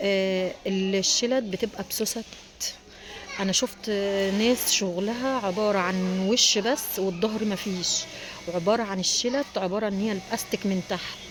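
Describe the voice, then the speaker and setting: A quiet woman's voice at a medium pitch, fairly even in intonation, with noticeable background noise. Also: fairly slow pace. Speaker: small business owner selling furniture covers. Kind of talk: casual vlog talk to viewers. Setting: inside a factory. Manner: quiet, lowered voice.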